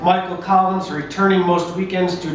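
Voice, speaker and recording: Over noticeable background noise and audible room echo, a man with a high pitch speaks in a New York accent with fairly even intonation. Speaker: narrator at a staged play reading. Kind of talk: narration of a play reading.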